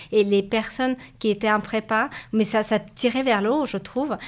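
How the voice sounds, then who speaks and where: A woman's fairly high voice holds a monotone, flat intonation. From Latvia (Riga). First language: Russian (speaking French). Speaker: business school graduate, interviewee. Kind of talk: interview. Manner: hesitant, many repetitions.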